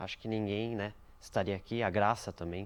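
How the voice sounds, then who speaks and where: A man's fairly low voice at a moderate pace. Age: 20s. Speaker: church member, graphic designer. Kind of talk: documentary interview.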